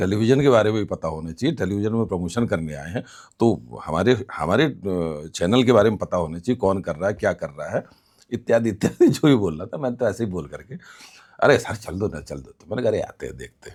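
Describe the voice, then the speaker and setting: A man at a moderate pace with lively intonation. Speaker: news anchor and theatre actor. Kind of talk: interview answer. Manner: casual, conversational.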